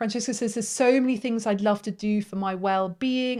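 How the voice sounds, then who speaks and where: Fairly quick speech in a British accent, with fairly even intonation. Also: woman. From Britain. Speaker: face yoga teacher and business coach. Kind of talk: live webinar workshop. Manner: warm, encouraging.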